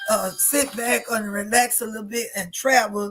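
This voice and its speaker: A woman with an unremarkable speaking voice, fairly high pitch, moderate pace and fairly even intonation. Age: 60s. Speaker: radio talk show host and evangelist. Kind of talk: talk show discussion.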